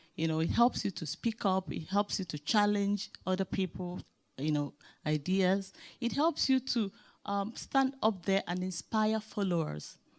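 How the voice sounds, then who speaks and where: Speaking in a Nigerian accent at a moderate pace, a woman uses a medium pitch and lively intonation, recorded very cleanly over a silent background with a dry, close sound and no echo. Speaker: leadership speaker. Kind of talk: panel discussion.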